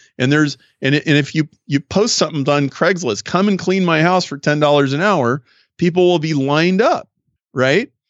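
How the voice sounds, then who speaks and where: A man talks at a moderate pace with a fairly high pitch. His is an ordinary speaking voice, with ordinary pitch variation. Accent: American. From US Midwest, Nebraska. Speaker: business consultant and author. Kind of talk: interview.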